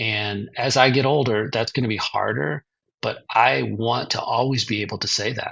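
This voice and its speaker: A man with vocal fry speaks at medium pitch and a moderate pace, his pitch varying in an ordinary way. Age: 60s. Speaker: author and publisher. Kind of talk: interview.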